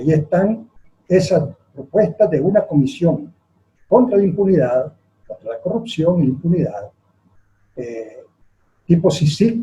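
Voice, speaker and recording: A dark, mellow voice at a fairly slow pace, with very wide pitch swings. Loudness rises and falls sharply, and long pauses come often. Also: man, high pitch for a man. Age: 70s. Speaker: politician. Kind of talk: interview. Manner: hesitant, frequent fillers.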